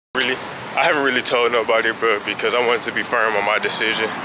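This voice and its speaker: The speech is very fast and delivered in a flat monotone. Background noise is noticeable. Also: man. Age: 20s. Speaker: college student vlogger. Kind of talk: vlog. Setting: walking outdoors around campus.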